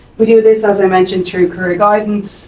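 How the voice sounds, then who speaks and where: With a Dublin accent, a woman speaks very fast with ordinary pitch variation over noticeable background noise. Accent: Irish (Dublin). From Ireland, Dublin. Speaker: employment centre staff presenter. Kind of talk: conference presentation.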